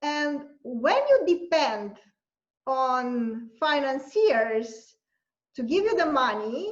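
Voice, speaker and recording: The pace is very slow, with a Romanian accent. Pitch swings very widely. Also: woman, high pitch for a woman. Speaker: university lecturer and journalist. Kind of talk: interview answer.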